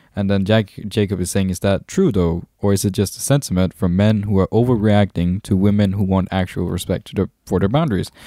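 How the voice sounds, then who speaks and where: This man speaks at a fairly quick pace with a Danish accent, his fairly low voice dark and mellow and his intonation fairly even. The recording is very clean over a silent background, with a dry, close sound and no echo. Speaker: podcast co-host. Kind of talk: casual chat. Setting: live stream.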